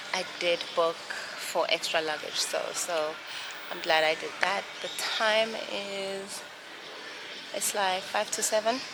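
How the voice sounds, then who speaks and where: Speaking at a very slow pace with long, frequent pauses, a woman uses a medium pitch and ordinary pitch variation amid noticeable background noise. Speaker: lifestyle vlogger. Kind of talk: casual vlog.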